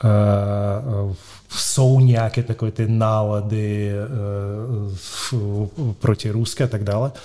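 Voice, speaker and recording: The voice has a dark, mellow tone with a Russian accent. Its intonation stays fairly even. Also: man. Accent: Russian accent in Czech. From Moscow, Russia. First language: Russian (speaking Czech). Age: 50s. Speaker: real estate company director. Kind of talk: interview. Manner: halting.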